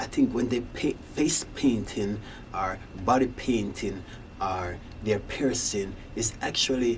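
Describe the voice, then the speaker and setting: Over noticeable background noise, a voice with a slight Jamaican accent speaks at a fairly slow pace, with ordinary pitch variation. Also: man. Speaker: singer-songwriter, rock musician. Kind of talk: casual monologue. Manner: halting.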